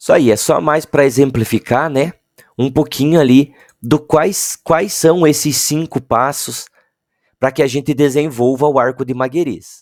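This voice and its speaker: A plain, everyday voice speaks at a fairly slow pace with ordinary pitch variation. The sound is dry and close, with no echo. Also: man, fairly high pitch for a man. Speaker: teacher trainer. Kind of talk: online training session.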